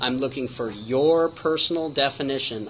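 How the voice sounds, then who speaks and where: A man's voice, fairly high in pitch, is heard amid noticeable background noise. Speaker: college professor. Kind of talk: recorded online course tutorial. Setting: screen-recorded video. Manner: fast.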